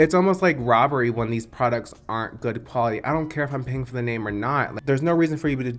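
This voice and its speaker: A man speaks at a very fast pace with an American accent, his pitch medium and its variation ordinary. Music plays in the background. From US, grew up in a trailer. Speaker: beauty YouTuber. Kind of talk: casual chat. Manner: shy, hesitant with fillers.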